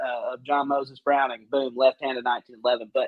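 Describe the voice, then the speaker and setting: A man at a fairly quick pace with ordinary pitch variation, noticeable background noise behind him. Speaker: gun company representative. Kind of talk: casual podcast chat. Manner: halting, filler-heavy.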